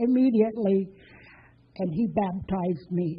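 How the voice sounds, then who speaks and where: Here a woman talks at a moderate pace, her voice somewhat breathy. The intonation is lively. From Bessarabia, ethnic German family. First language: German. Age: 80s+. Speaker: storyteller, former war refugee. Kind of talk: personal testimony to an audience.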